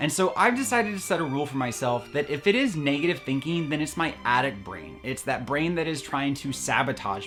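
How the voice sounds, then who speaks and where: Against background music, a man with a fairly high pitch talks at a moderate pace, his pitch swinging very widely. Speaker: eating disorder recovery vlogger. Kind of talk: casual talk to camera. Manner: earnest, conversational.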